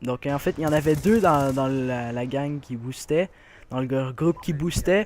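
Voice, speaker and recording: A man with a Quebec accent at a moderate pace, his fairly high pitch showing ordinary variation. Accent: Québécois French. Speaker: gaming youtuber. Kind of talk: gameplay commentary. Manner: hesitant, many fillers.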